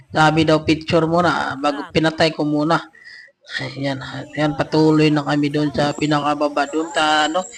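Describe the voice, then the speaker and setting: Against noticeable background noise, a man speaks in a fairly high pitch with monotone, flat intonation. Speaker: travel vlogger. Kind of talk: vlog narration. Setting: voice-over recorded separately. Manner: casual, filler-heavy.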